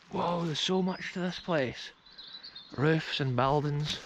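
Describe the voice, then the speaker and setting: A man with a Scottish accent, his pitch fairly high, over noticeable background noise. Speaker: urban explorer vlogger. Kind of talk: exploration vlog narration. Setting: outdoors. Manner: animated.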